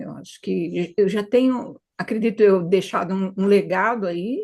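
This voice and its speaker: Her voice sits at medium pitch with ordinary pitch variation. This woman speaks with vocal fry. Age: 70s. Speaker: retired hypnotherapist. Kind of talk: interview.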